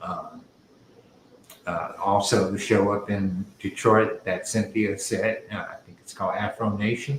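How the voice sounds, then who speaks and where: Speech at a fairly slow pace comes through noticeable background noise. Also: man. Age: 70s. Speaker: artist hosting live art show. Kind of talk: casual livestream chat. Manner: halting.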